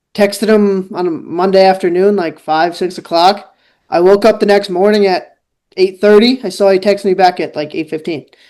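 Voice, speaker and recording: A man with a New York accent speaks in a high voice with a dark, mellow tone. His pace is moderate and his intonation fairly even. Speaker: student journalist. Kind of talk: casual chat and interview. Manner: casual, filler-heavy.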